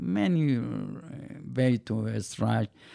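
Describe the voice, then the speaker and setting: Over a quiet background, a man with a Persian accent speaks in a dark, mellow tone with lively intonation. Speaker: interviewee, host's father. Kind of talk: casual chat. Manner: halting.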